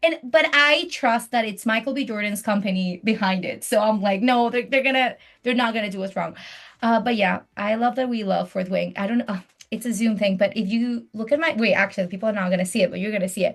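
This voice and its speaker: This woman talks at a very fast pace in an animated tone with a fairly high pitch. Her voice is somewhat breathy, with ordinary pitch variation. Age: 30s. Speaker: podcast host. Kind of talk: casual chat. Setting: video call.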